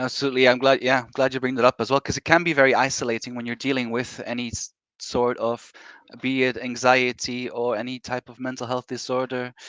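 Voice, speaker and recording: A man with a Dutch accent and medium pitch talks at a very fast pace in a monotone, flat intonation, with big swings in loudness, in dry, close sound with no echo against a quiet background. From Belgium, Brussels. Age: 30s. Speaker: horror author and teacher. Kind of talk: casual chat.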